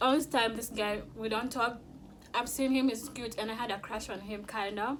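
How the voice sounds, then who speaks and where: Noticeable background noise sits under a woman's fairly high voice. She keeps a moderate pace and fairly even intonation. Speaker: YouTuber. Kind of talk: mukbang storytime. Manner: loud.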